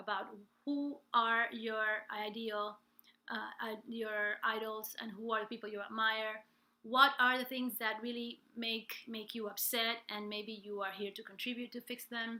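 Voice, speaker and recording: With a bright, sharp tone and a fairly high pitch, a woman speaks at a fairly slow pace. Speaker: life and business coach, singer. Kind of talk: live stream coaching talk. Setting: live stream from home.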